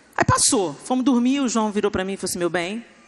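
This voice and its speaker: An animated woman at a fairly quick pace, with noticeable background noise. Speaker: pastor. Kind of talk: sermon. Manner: loud.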